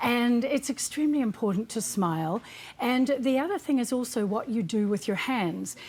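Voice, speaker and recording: A woman with a New Zealand accent speaks at a high pitch with lively intonation. Her pace is moderate and her loudness stays very even. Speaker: body language and communications expert. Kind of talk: TV interview.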